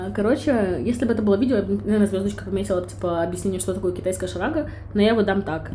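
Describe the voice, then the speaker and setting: A woman talks at a very fast pace in an animated tone. Audible room echo and noticeable background noise are present. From Ukraine, Kyiv. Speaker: podcast co-host. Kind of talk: casual chat.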